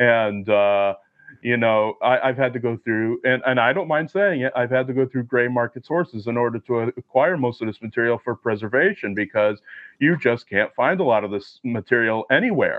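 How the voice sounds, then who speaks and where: Speaking at a moderate pace, a man with medium pitch and ordinary pitch variation has an unremarkable speaking voice. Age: 20s. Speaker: film historian. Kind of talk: casual chat.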